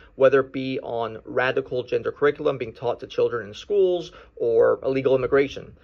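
A man speaks at a fairly quick pace. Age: 30s. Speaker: attorney calling in to a show. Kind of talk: recorded listener question.

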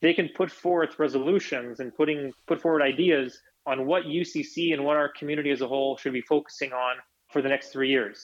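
The speaker has a Canadian accent and talks at a fairly quick pace. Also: man, fairly high pitch for a man. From Canada, Edmonton, Alberta. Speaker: Ukrainian Canadian community leader and businessman. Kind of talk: interview. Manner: repeats words often, hesitant.

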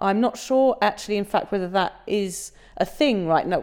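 A woman's medium-pitched voice with an English accent at a moderate pace, on a very clean recording with a silent background. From England. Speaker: sobriety blogger and author. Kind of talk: casual interview about personal story.

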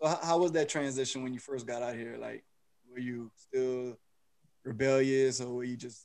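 At a moderate pace, a man with a plain, everyday voice speaks at medium pitch with fairly even intonation. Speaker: podcast host. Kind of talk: casual interview.

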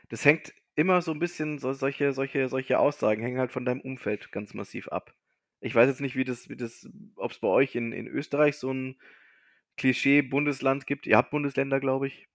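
A man with a normal speaking voice talks at a fairly quick pace. His pitch is fairly high, with fairly even intonation. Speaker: podcast co-host. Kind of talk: casual chat.

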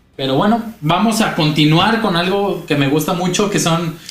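Noticeable background noise and audible room echo accompany a man's voice. He speaks at a fairly slow pace with lively intonation. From Mexico, Guadalajara (Jalisco). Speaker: podcast co-host. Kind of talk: storytelling narration; casual comedic chat.

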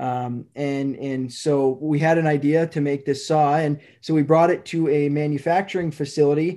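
Delivering his words at a moderate pace with hardly any pauses, a man with an Upper Midwest accent has a fairly high pitch, a dark, mellow tone and monotone, flat intonation. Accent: Upper Midwest (Minnesota). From northern Minnesota, near Duluth. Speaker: manufacturing company vice president. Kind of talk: interview. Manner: hesitant with many fillers.

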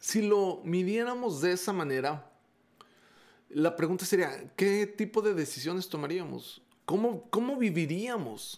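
A man with a high-pitched voice speaks at a fairly slow pace, his intonation lively. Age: 40s. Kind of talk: devotional talk. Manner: hesitant, with frequent repetitions and fillers.

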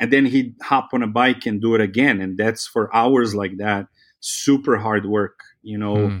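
A man with a Serbian accent and a fairly low pitch, fairly even intonation, a moderate pace, and a very clean recording with a silent background. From Serbia (Belgrade). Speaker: photographer and biology teacher. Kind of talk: casual interview conversation.

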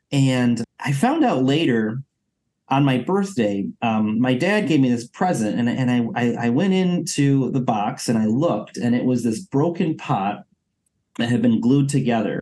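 A man with an American accent, medium pitch, dark, mellow tone, lively intonation, fairly slow pace and very even loudness. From Costa Rica, then Michigan from age 10. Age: 30s. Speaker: adoptee community organizer, nonprofit worker. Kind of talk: personal interview.

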